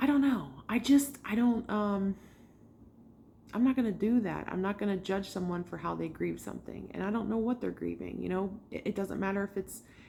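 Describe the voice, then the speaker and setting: A woman speaks at a moderate pace and a medium pitch, with ordinary pitch variation. Her tone is dark and mellow, and somewhat breathy. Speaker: tarot reader. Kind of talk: casual video monologue. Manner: halting, many fillers.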